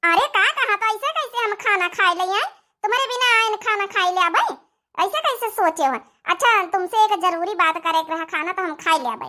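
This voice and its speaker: A squeaky, cartoonish character voice from a woman, extremely high in pitch, with lively intonation and a fairly quick pace. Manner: soft, coaxing.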